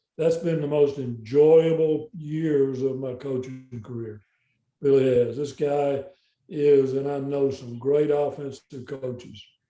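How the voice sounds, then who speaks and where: A man talks at a very slow pace with a Southern US accent. His intonation is fairly even. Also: fairly high pitch for a man. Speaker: football coach. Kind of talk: interview. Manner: halting.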